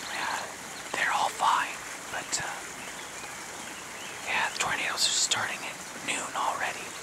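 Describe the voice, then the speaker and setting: Over loud background noise, a man with an American accent talks at a fairly slow pace with long, frequent pauses. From Midwestern US. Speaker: whisper video creator. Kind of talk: ASMR whisper talk. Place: waterside.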